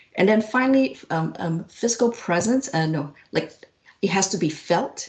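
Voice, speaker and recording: Intonation here is lively, and the pace is moderate. The voice has a somewhat breathy quality. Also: woman, medium pitch for a woman. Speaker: physician researcher. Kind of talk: interview. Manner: projected voice.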